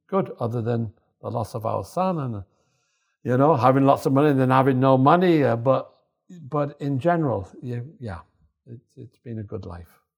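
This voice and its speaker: A man with a Yorkshire accent at medium pitch, moderate pace, ordinary pitch variation and big swings in loudness, on a very clean recording with a silent background. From northern England, Yorkshire. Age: 70s. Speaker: storyteller, retired salesman and former model. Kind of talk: casual interview, storytelling. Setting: cafe.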